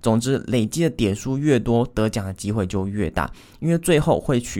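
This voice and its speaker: A man's medium-pitched voice, dark and mellow in tone, with a Taiwanese accent and ordinary pitch variation. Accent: Taiwanese Mandarin. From Taiwan, Taichung. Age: 20s. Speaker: podcast host, online course creator. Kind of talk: solo podcast monologue.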